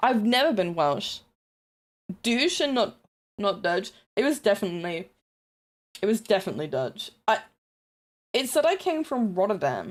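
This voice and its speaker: A woman with a New Zealand accent speaks at a fairly high pitch, her voice swinging very widely up and down. She leaves long, frequent pauses, and her loudness stays very even. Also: moderate pace. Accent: Kiwi. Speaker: streamer. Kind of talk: casual livestream chat. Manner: animated.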